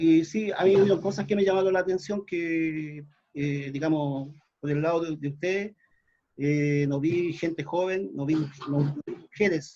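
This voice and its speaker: A man speaks with a Chilean accent at a fairly high pitch. His tone is dark and mellow, with ordinary pitch variation. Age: 60s. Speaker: folk musician and community activist. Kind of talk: panel discussion. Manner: halting, many fillers. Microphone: too quiet.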